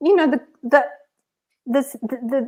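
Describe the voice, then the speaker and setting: With an Australian accent, a woman speaks at a moderate pace and a high pitch. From rural Australia. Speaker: author. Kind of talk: interview. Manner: animated.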